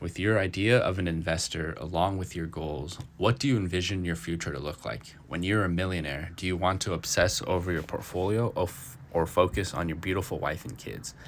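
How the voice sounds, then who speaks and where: A man's very deep, low voice at a fairly quick pace, with ordinary pitch variation and hardly any pauses. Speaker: finance podcaster. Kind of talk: reading notes aloud with casual commentary. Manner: halting, stuttering.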